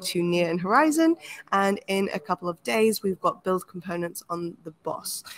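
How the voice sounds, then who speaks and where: A woman speaks at a moderate pace in a medium-pitched voice. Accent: London. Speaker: program manager hosting a workshop. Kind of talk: webinar introduction.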